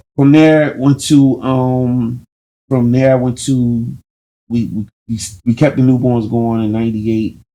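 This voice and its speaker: Speaking at a fairly slow pace with long, frequent pauses, the man has a medium pitch, a dark, mellow tone and fairly even intonation. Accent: American. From Camden, New Jersey. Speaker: rapper. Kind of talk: casual interview.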